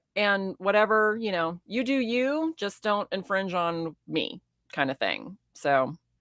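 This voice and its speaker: In a dry, close recording with no echo, a woman of medium pitch speaks with very wide pitch swings. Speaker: guest on real estate livestream. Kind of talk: casual chat. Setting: livestream. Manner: fast; animated.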